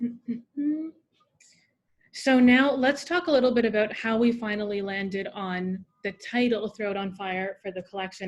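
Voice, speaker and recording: Her voice is an ordinary speaking voice. The woman speaks at a medium pitch with ordinary pitch variation. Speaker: editor interviewing author. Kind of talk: interview at book launch. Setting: event with live audience.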